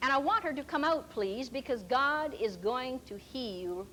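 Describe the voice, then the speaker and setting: A loud, high-pitched woman's voice at a fairly slow pace, with very wide pitch swings and audible room echo. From rural farm upbringing. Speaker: Bible teacher and healing minister. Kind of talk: sermon.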